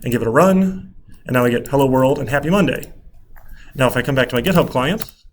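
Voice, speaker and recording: A man at a very fast pace with ordinary pitch variation and long, frequent pauses, audible room echo around him. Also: fairly high pitch for a man. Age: 30s. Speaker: college computer science instructor. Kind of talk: lecture.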